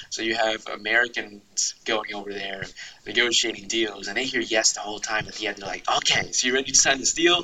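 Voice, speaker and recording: A man with an ordinary speaking voice talks at a fairly quick pace and a medium pitch, with ordinary pitch variation and big swings in loudness. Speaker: university student, negotiator, public speaker. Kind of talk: casual interview conversation.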